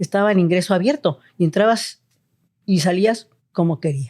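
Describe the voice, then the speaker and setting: A woman talks at medium pitch and a moderate pace, with a dark, mellow tone and lively intonation. The recording is very clean and dry, close-miked with no echo and a silent background. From Mexico City. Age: 60s. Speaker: family doctor. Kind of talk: interview.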